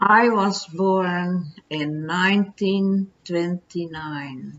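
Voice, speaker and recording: The woman speaks at a very slow pace. Her fairly low voice keeps a fairly even intonation. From Indonesia. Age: 80s+. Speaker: elderly storyteller. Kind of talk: life-story interview. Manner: soft-spoken.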